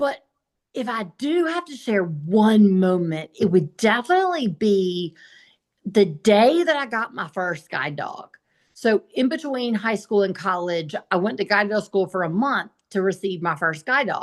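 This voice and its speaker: With a Southern US accent, the speaker talks at a fairly slow pace, and the pitch swings very widely. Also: woman, medium pitch for a woman. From US South, South Carolina. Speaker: blind motivational speaker. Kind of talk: interview.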